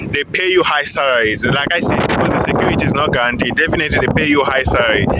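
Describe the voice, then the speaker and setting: Over noticeable background noise and audible room echo, a man talks very fast at a fairly high pitch. His loudness stays very even, with ordinary pitch variation. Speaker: IT engineer and career vlogger. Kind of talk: casual vlog commentary. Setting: outdoors at a stadium.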